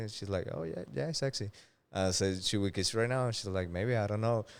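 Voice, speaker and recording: On a very clean recording with a silent background, a man with a Spanish accent speaks at a very fast pace in a fairly low pitch. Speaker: stand-up comedian. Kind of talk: casual podcast chat. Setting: podcast studio. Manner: halting, repeats words.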